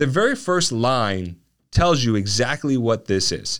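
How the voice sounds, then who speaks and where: A man's plain, everyday voice at medium pitch, with lively intonation and a moderate pace, in a very clean recording with a silent background. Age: 30s. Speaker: lawyer and podcast host. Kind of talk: podcast monologue. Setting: studio. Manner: casual, many fillers.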